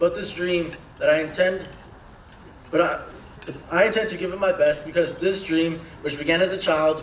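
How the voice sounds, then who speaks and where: Amid audible room echo and noticeable background noise, a man with a high pitch speaks at a moderate pace with fairly even intonation and long, frequent pauses. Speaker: scholarship recipient. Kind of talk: prepared speech.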